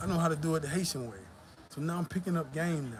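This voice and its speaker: Someone speaks in an American accent with ordinary pitch variation amid noticeable background noise. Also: man. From US South, Georgia. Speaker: YouTuber. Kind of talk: live stream chat. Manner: casual, profane.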